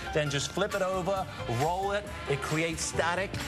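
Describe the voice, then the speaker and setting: Over clear background music, a man with a British accent talks fairly quickly in a high, enthusiastic voice with ordinary pitch variation. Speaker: TV pitchman. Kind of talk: TV morning show interview with product demos. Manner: enthusiastic, flamboyant. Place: studio. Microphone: lapel.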